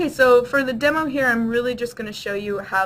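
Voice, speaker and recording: Fairly quick speech from a woman, with ordinary pitch variation. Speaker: applications engineer presenting a webinar. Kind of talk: webinar software demo and presentation. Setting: online webinar. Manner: fast.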